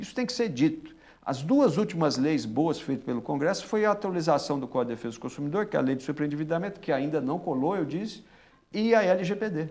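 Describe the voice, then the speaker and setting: A man's fairly high voice at a very fast pace with lively intonation. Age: 60s. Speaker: public prosecutor. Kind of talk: interview. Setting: studio. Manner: animated.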